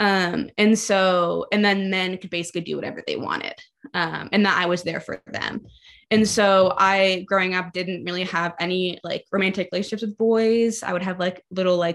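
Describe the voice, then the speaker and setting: Her intonation flat and monotone, a woman speaks at a medium pitch. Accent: American. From Maryland, US. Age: 20s. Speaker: barista. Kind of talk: testimony.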